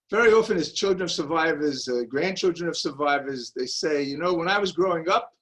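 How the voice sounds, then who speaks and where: With a Brooklyn accent, a man talks at a fairly quick pace in a high pitch with ordinary pitch variation. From US Northeast, Brooklyn, New York. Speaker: Nazi hunter. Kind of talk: lecture. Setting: video call.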